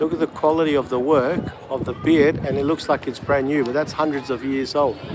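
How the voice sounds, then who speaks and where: Over noticeable background noise, a man with an Australian accent speaks fairly quickly in a fairly high, monotone, flat voice. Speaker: travel livestreamer. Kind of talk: live walking tour commentary. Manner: calm.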